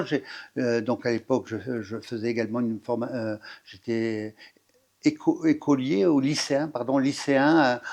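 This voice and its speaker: This man talks at a fairly slow pace, his pitch medium with ordinary variation. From northern France, Pas-de-Calais. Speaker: firefighter officer. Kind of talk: interview. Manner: halting, many fillers and restarts.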